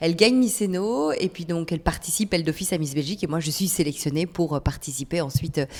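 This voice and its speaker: Barely pausing at all, a woman with a fairly low pitch talks at a very fast pace with ordinary pitch variation. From Belgium, Charleroi (Wallonia). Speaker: TV presenter and weather presenter. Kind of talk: casual podcast interview.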